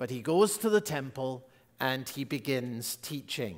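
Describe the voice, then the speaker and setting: A man speaks fairly slowly with lively intonation, the background quiet. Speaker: pastor. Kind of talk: sermon. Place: church. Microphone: headset.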